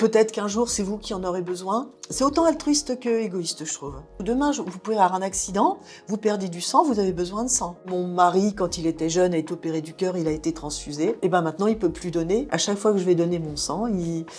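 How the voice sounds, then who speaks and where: Lively, fairly quick female speech at a medium pitch over music in the background. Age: 60s. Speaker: blood and plasma donor. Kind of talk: interview testimony. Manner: casual, with hesitations.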